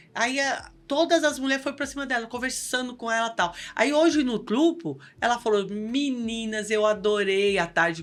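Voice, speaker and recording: Animated delivery at a moderate pace with lively intonation. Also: woman. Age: 60s. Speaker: local political women's group leader, cancer survivor. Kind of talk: podcast interview, casual chat.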